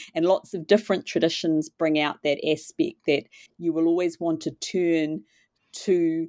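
In a New Zealand accent, a woman with a very deep, low pitch speaks at a fairly slow pace and fairly even intonation, the sound dry and close with no echo on a very clean recording with a silent background. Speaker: literature professor. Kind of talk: interview.

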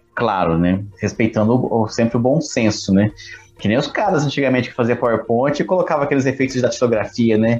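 Over noticeable background noise, a man talks fairly quickly at a medium pitch. His loudness stays very even while his pitch varies in an ordinary way. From Brazil. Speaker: podcast co-host. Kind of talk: casual chat.

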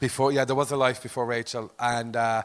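A man with a Limerick accent speaks at a fairly quick pace. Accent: Limerick Irish. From Limerick, Ireland. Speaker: comedian. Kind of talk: live comedy podcast chat. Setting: stage with live audience.

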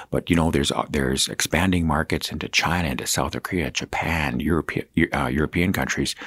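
A man with a Canadian Prairie accent talks at a fairly quick pace, his very deep, low pitch edged with vocal fry. The sound is dry and close, with no echo. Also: very clean recording, silent background. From Saskatchewan, Canada. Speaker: provincial agriculture minister.

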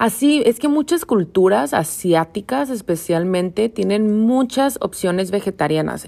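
A woman talks with an unremarkable speaking voice. Her intonation is lively. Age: 20s. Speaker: podcast host, yoga teacher. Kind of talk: casual monologue.

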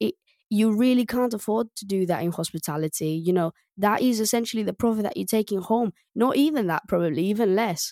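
With a Greek accent, a woman speaks at a fairly quick pace in a medium pitch, her dark, mellow tone carrying lively intonation, in a very clean recording with a silent background and a dry, close sound with no echo. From Greece. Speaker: restaurant tech co-founder. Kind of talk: podcast interview. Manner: hesitant, many fillers.

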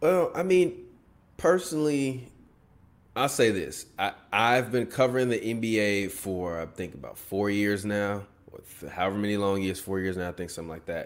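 This man has a normal speaking voice, fairly low in pitch, with lively intonation. He keeps a moderate pace, and his loudness swings widely. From Chicago. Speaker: sports podcaster and media company co-founder. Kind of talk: casual interview chat.

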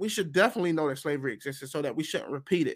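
A man with an American accent speaks at a fairly high pitch in an animated tone. The recording is very clean, with a silent background. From United States. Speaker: podcast host reacting to a video. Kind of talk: reaction commentary.

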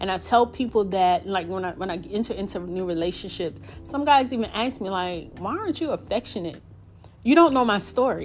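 Noticeable background noise sits behind a woman's medium-pitched voice. She talks at a fairly quick pace with lively intonation. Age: 40s. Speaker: podcast host. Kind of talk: personal storytelling monologue. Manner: rambling, conversational with filler words.

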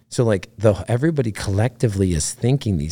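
Fairly low in pitch, a man's voice carries a dark, mellow tone. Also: very clean recording, silent background. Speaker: retired navy special operations veteran, ranch program founder. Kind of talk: casual interview. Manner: halting, many fillers.

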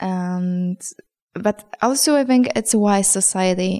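A woman speaks at a medium pitch. Her voice has ordinary pitch variation. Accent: Polish. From Poland. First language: Polish. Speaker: journalist and poet. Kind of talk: interview. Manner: halting, with many fillers.

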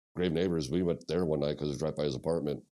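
Fairly even intonation in a Midwestern American accent. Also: man. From Missouri, US Midwest. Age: 40s. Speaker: punk musician. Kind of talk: casual chat.

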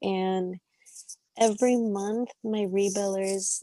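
In a dry, close recording with no echo, a woman speaks with a dark, mellow tone. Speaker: adult film performer. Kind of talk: casual interview chat. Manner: monotone.

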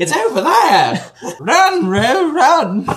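It is a put-on character voice pitched fairly high. The pitch swings very widely. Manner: stern, urgent.

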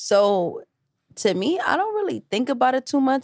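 A woman with a New York accent speaks at a moderate pace on a very clean recording with a silent background. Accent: New York City. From New York City, Harlem. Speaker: singer and rapper. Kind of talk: casual interview.

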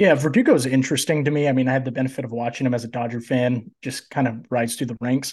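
Against a quiet background, a man speaks at a very fast pace and a medium pitch, somewhat breathy, with fairly even intonation and hardly any pauses. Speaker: fantasy baseball analyst, student. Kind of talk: casual chat.

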